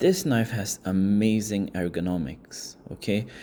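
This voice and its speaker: Dark and mellow in tone, a man's fairly low voice comes with a non-native accent. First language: not English. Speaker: product reviewer. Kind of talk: product review. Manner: casual, hesitant.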